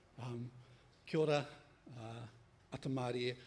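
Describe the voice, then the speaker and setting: This man speaks at a medium pitch, somewhat breathy, in a monotone with flat intonation. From New Zealand, Māori. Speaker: software community expert, workshop presenter. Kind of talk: workshop presentation.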